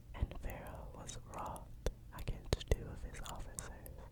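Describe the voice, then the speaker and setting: Someone whispers in a soothing tone at a fairly slow pace. Noticeable background noise sits behind the voice. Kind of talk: Bible reading. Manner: whispered; soft, soothing.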